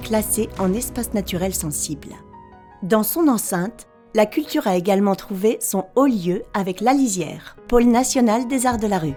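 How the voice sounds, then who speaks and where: A woman talks at a fairly slow pace and medium pitch with ordinary pitch variation. Music plays in the background. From France. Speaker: voice-over artist. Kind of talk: promotional town documentary narration. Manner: friendly.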